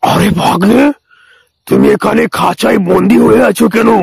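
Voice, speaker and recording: In a cartoonish character voice, a man speaks raspy and high-pitched at a fairly slow pace. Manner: blustering, overconfident.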